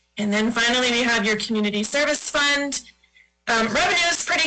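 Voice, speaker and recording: A woman speaks at a very fast pace with a fairly high pitch. Audible room echo surrounds her voice. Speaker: auditor. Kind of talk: financial presentation to school board.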